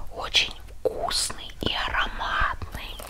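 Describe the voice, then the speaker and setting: The woman's whispering moves at a very slow pace. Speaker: lifestyle vlogger. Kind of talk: whispered ASMR product review. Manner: whispered. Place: home room. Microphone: lapel.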